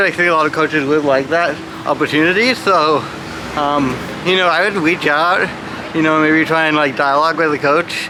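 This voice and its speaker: Through noticeable background noise and audible room echo, a man speaks at a fairly quick pace in a fairly high pitch with fairly even intonation. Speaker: adaptive athlete. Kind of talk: interview. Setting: gym. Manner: halting with many fillers.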